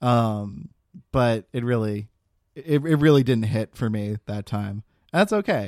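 A man's plain, everyday voice at a medium pitch and a fairly slow pace, with ordinary pitch variation, a dry, close sound with no echo and a very clean recording against a silent background. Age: 20s. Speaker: podcast co-host. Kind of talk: casual chat.

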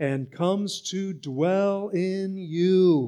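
On a very clean recording with a silent background, a man talks at a high pitch with ordinary pitch variation. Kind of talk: sermon. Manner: animated, wound up, call-and-response with the congregation; earnest, emphatic, teaching.

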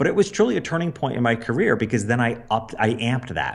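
A man speaks at a medium pitch with ordinary pitch variation in an unremarkable speaking voice. The recording is very clean, with a silent background. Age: 50s. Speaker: business coach and former portrait photographer. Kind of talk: interview.

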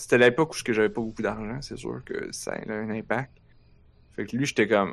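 With a Quebec accent, a man speaks at a medium pitch with fairly even intonation against a quiet background. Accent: Québécois French. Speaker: podcast host. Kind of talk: casual chat. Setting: live stream with chat.

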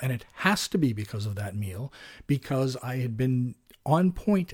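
Speaking fairly slowly, a man sounds somewhat breathy. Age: 50s. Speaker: podcast host, personal trainer and diet coach. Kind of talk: casual monologue.

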